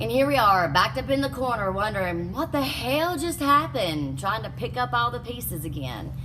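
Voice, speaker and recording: A Southern US accent at a fairly quick pace with hardly any pauses, over noticeable background noise. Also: woman. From US South. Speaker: life coach. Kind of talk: motivational talk. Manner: animated.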